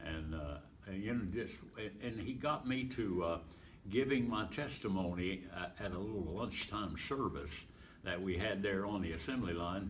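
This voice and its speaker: Somewhat breathy speech at a moderate pace, with ordinary pitch variation and audible room echo. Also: man, fairly low pitch for a man. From Pennsylvania. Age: 80s+. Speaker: evangelist and retired pastor. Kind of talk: interview, life story. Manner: halting, many fillers.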